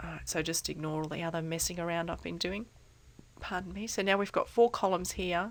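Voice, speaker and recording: This woman has a fairly low pitch and vocal fry. She talks at a fairly quick pace. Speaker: statistics tutor. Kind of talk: software tutorial narration. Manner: casual, hesitant.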